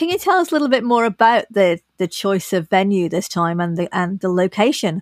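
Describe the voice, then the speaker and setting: A woman's medium-pitched, a normal speaking voice in a very clean recording with a silent background. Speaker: podcast co-host interviewer. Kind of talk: casual interview chat.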